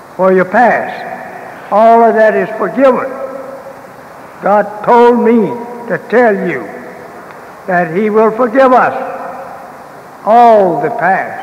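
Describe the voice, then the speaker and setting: Very slowly and at an extremely high pitch for a man, a man speaks with ordinary pitch variation, with audible room echo and light background noise. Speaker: religious leader lecturing. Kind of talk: sermon. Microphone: old recording.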